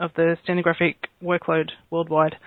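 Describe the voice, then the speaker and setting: Fairly low in pitch, a woman with an Australian accent speaks with fairly even intonation. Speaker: court reporter. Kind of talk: interview.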